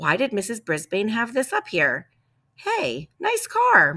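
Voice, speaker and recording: Put on at a fairly high pitch, this character voice moves at a fairly slow pace. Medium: read story. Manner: casual, easygoing.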